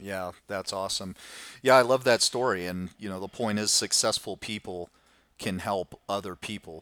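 Very cleanly recorded against a silent background, a man talks in a normal speaking voice at fairly low pitch, with fairly even intonation and a moderate pace. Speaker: podcast host. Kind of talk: casual interview.

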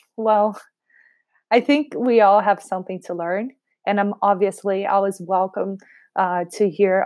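A woman speaks with a Portuguese accent at a medium pitch. Her intonation is fairly even, and the background is quiet. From Brazil. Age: 30s. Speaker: podcast host and realtor. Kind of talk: casual monologue.

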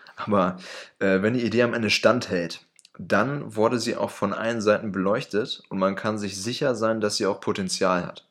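Speaking at a moderate pace, a man with a fairly low pitch uses fairly even intonation in an unremarkable speaking voice. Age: 20s. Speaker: podcast co-host, dual-study student. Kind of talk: scripted podcast intro.

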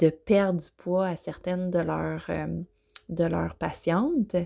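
In a Quebec accent, a woman speaks at a very slow pace on a very clean recording with a silent background. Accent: Québécois French. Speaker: intuitive eating coach, podcast host. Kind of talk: solo podcast monologue. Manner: hesitant, many fillers.

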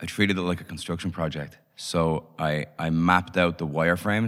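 Very deep and low, a man's voice moves at a fairly quick pace with a Dublin accent on a very clean recording with a silent background. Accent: Irish (Dublin). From Ireland, Dublin. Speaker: startup founder and CEO. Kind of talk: interview.

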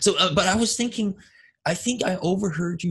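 A man talks in a somewhat breathy voice. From Denmark. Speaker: podcast host. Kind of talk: interview. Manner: halting.

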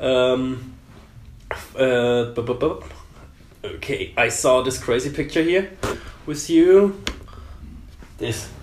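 Here a man speaks with a German accent. His intonation is lively. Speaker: tattoo studio host. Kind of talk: casual interview.

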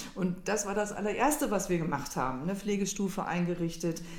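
Audible room echo follows a woman whose pitch varies in an ordinary way. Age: 50s. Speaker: charity board member and parent. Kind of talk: interview.

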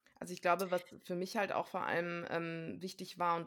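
A woman with a fairly low pitch, monotone, flat intonation and a moderate pace. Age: 30s. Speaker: trained actress and coach, course graduate. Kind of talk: interview.

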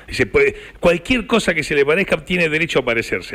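A man talks at a moderate pace in a Rioplatense accent. His pitch sits high. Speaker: radio host. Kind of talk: radio interview.

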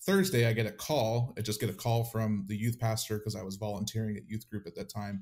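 On a very clean recording with a silent background, a man with an unremarkable speaking voice talks at a fairly quick pace, his pitch fairly low and his intonation fairly even. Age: 30s. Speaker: AV technician and former church drummer. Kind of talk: interview testimony.

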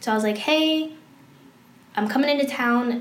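A woman speaks at a high pitch with fairly even intonation. Noticeable background noise and audible room echo are present. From Maryland, Prince George's County. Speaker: vlogger. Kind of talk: casual chat.

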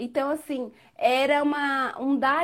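This is a woman speaking. Her voice sits at a high pitch. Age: 40s. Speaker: guest learning digital marketing. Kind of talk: casual chat. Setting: live video call.

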